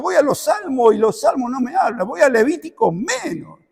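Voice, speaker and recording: A man's extremely high-pitched voice at a moderate pace. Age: 70s. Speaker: preacher. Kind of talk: sermon.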